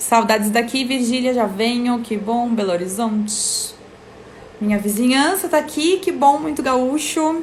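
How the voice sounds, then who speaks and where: A woman with a high pitch and lively intonation talks at a fairly slow pace, with audible room echo and noticeable background noise. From Rio Grande do Sul, Brazil (Serra Gaúcha). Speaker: live stream host. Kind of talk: casual live stream chat. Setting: Instagram live video stream.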